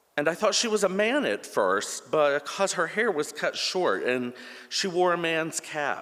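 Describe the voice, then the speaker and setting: With a high pitch, lively intonation and a bright, sharp tone, a man talks at a fairly slow pace. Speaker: church member. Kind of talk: reading aloud. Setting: church. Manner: passionate.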